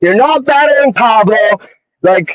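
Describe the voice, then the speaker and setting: A man talks at a moderate pace in an animated tone with lively intonation. The sound is dry and close, with no echo. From Greek immigrant family. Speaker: battle rapper. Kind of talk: interview. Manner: animated, profane.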